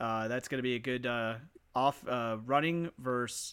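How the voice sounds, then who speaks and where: At a fairly slow pace, a man talks in a plain, everyday voice of medium pitch with fairly even intonation. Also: very clean recording, silent background. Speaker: podcast host. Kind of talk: casual group chat about sim football broadcasting.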